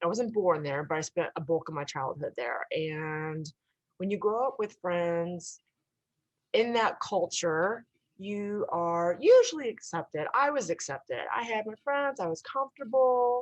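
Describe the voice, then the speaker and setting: A woman at a fairly slow pace, medium in pitch, with very wide pitch swings. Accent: American. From US Midwest, Illinois. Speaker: interview guest. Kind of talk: personal story in interview.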